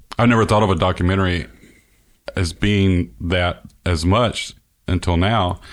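Speaking in a Mississippi accent, a man has a very deep, low pitch and fairly even intonation. The recording is very clean, with a silent background. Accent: US Southern (Mississippi). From northern Mississippi. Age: 40s. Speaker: podcast host and musician. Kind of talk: casual interview conversation.

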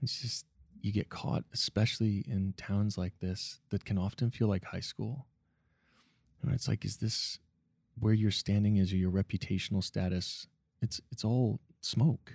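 A fairly low-pitched, somewhat breathy man speaks at a fairly slow pace with ordinary pitch variation, recorded very cleanly over a silent background with a dry, close sound and no echo. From Nova Scotia, Canada. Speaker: restaurateur and social entrepreneur. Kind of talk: casual interview conversation.

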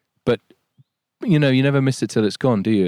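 With a Yorkshire accent, a man talks in a dark, mellow tone with ordinary pitch variation, the sound dry and close with no echo. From Yorkshire, England. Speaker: nature writer. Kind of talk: casual interview. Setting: outdoors.

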